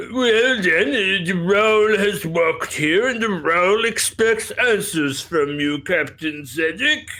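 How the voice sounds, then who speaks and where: Putting on a character voice, a man speaks high and fairly slowly with lively intonation. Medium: actual play. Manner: pompous, self-important.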